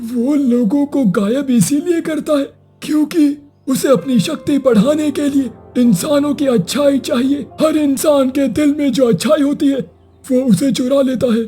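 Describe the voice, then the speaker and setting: A high-pitched, cartoonish character voice does the talking. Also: moderate pace. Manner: slow, grave storyteller.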